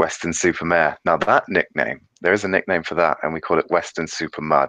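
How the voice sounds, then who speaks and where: A man speaks with a British accent at a moderate pace. The sound is dry and close, with no echo. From England, Devon. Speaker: YouTuber. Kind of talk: casual chat. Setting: video call.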